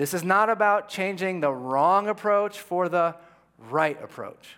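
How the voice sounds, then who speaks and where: A man speaks at a moderate pace with a passionate tone and lively intonation. The recording is very clean, with a silent background. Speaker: pastor. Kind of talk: sermon. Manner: passionate, with an edge.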